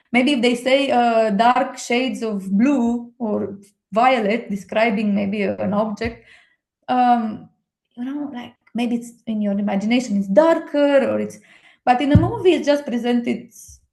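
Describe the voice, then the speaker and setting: With a Romanian accent, a woman speaks at a fairly slow pace in a high pitch with ordinary pitch variation. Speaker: book lover and friend of the host. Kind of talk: casual chat. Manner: animated; halting, many fillers.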